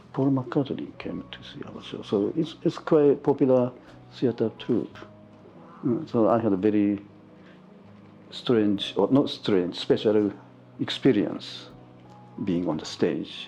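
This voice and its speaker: Speaking at a very slow pace with long, frequent pauses, a man with a Japanese accent uses medium pitch and lively intonation, his loudness swinging widely. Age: 70s. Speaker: photographer. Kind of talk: interview. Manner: halting.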